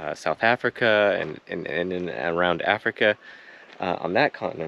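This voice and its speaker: No echo colors the dry sound. Delivery is at a moderate pace. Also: man. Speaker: travel vlogger. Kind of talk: casual vlog chat, explaining plants. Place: garden. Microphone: phone near.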